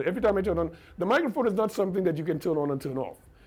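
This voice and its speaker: Lively intonation marks the man's very fast delivery. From Trinidad, San Juan. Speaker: radio broadcaster. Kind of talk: interview. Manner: repetitive stammering starts.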